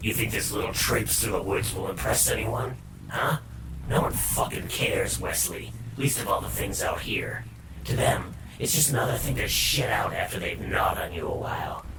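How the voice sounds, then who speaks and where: Loud background noise fills this clip. Over it, a man performs a put-on character voice. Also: moderate pace. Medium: read story. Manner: sneering, vulgar.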